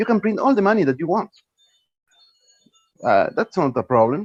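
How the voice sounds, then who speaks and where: Music plays in the background as a man speaks. His pitch swings very widely, and the sound is dry and close with no echo. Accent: Spanish. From Argentina. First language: Spanish. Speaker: panel discussant. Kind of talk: online panel discussion. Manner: halting, with repetitions.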